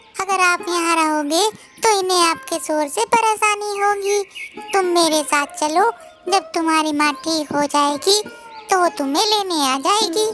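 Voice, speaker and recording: A woman in a cartoonish character voice at a moderate pace, with clear music in the background. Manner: soft, reassuring.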